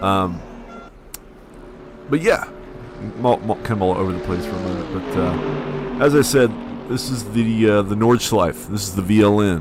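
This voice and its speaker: A man with a fairly low pitch speaks at a moderate pace, his intonation lively. He leaves long, frequent pauses, and noticeable background noise runs underneath. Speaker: sim racing streamer and commentator. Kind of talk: live stream commentary. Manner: halting, many fillers.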